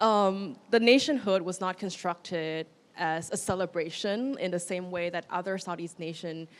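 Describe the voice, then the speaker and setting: In a very clean recording with a silent background, a woman with a Thai accent speaks at a moderate pace and medium pitch with ordinary pitch variation. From Thailand. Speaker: curator. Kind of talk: panel discussion.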